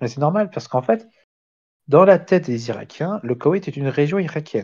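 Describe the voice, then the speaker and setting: Very wide pitch swings in a somewhat breathy voice with a Belgian accent. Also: man. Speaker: amateur history lecturer. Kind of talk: lecture. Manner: halting, many fillers and restarts.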